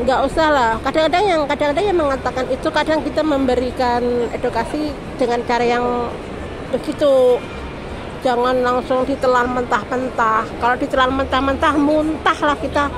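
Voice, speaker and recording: Music plays in the background and audible room echo surrounds a woman whose high voice keeps fairly even intonation and very even loudness. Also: moderate pace. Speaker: migrant domestic worker and beginner vlogger. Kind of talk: casual vlog monologue. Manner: loud, raised to beat the music; rambling, jumps between topics.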